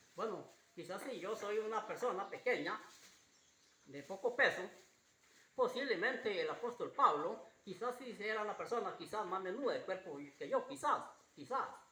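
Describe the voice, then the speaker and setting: A man's raised, projected voice, high-pitched for a man, at a moderate pace with lively intonation and audible room echo. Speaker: pastor. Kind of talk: sermon. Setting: church. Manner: repetitive, halting.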